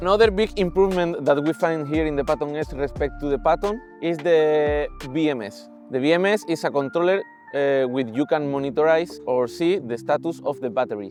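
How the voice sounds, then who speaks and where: Music plays behind a speaker with a Spanish accent who talks at a fairly quick pace, with lively intonation and an enthusiastic tone. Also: man, fairly high pitch for a man. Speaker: electric unicycle reviewer. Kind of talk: product review to camera.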